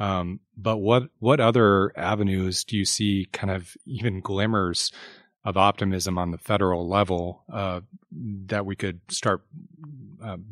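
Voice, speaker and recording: A man with an unremarkable speaking voice talks at a fairly slow pace, his fairly low pitch and fairly even intonation captured in a dry, close sound with no echo over a quiet background. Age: 30s. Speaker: podcast host and newspaper reporter. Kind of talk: interview. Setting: studio.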